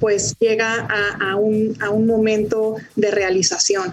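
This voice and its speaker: Her fairly high voice is heard with background music playing. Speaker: stock exchange executive. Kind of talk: interview.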